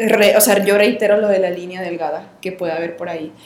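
This is a woman's voice with audible room echo. Noticeable background noise is also present. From Mexico, Coahuila. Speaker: podcast host. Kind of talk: casual chat.

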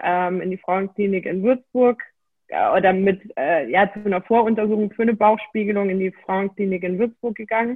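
This woman has an unremarkable speaking voice at a medium pitch. She keeps a moderate pace and fairly even intonation. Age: 20s. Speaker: endometriosis patient and self-help coach. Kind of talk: interview, personal testimony.

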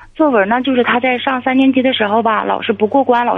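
A woman speaks in an unremarkable speaking voice at a fairly high pitch. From Inner Mongolia. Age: 40s. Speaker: caller. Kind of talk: advice call-in.

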